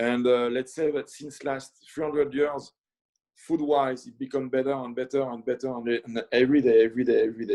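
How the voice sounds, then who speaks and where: A man speaks at a fairly quick pace with a French accent and a dark, mellow tone at medium pitch. His intonation is monotone and flat, though his loudness swings widely. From France, north of Paris. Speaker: chef. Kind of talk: casual interview chat. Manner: halting, many fillers.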